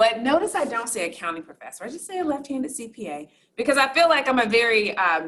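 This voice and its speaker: A woman with a Southern accent, high-pitched and animated, racing along at a very fast pace with very wide pitch swings and big jumps in loudness. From US South, Durham, North Carolina. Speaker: accounting professor and fraud expert. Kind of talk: talk to an audience. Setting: live talk with audience.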